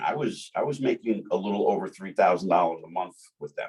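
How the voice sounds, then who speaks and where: A man talks at a moderate pace with a New Jersey accent. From New Jersey (Jersey City). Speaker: bodybuilding emcee and sponsored athlete. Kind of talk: casual chat. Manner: halting, with many repetitions.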